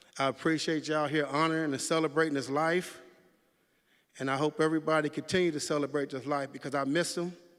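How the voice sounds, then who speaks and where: Very fast and monotone, a man talks with flat intonation at a fairly high pitch. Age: 60s. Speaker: memorial speaker, community mentor. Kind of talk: eulogy speech.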